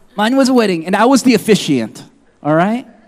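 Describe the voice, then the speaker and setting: Loud and animated, a man speaks at a high pitch with very wide pitch swings. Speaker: pastor. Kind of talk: sermon. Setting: church.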